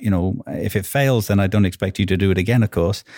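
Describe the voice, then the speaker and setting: A man with a Welsh accent speaks at a very fast pace in a fairly low voice, his intonation fairly even, on a very clean recording with a silent background. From Wales. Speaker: marketing executive. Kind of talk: casual interview.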